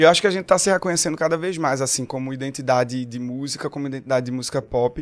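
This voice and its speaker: Delivered at a very fast pace, the speech sits on a very clean recording with a silent background. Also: man, medium pitch for a man, ordinary pitch variation. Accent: Pernambuco. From Pernambuco, Brazil (Agreste). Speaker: singer-songwriter. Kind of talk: casual chat. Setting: studio.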